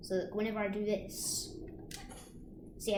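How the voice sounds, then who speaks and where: A woman speaks at a moderate pace. Room echo is audible, along with noticeable background noise. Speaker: gaming youtuber. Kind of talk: gameplay commentary. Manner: halting; loud.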